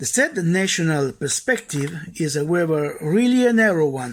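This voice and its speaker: A man talks with an Italian accent. His pace is fairly slow and his intonation lively. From Italy. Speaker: judge. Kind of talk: conference speech. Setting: recorded video message. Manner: formal.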